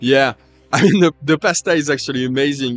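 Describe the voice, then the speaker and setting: A man talks at a very fast pace with a strong French accent and a fairly high pitch, using ordinary pitch variation. The sound is dry and close, with no echo. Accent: thick French. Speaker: livestream commentator. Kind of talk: live stream chat with viewers. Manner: halting, stuttering; casual.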